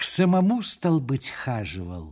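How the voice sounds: A man in a put-on character voice speaks at a fairly slow pace and medium pitch, with very wide pitch swings, a slightly mellow tone and a slightly husky edge, on a very clean recording with a silent background.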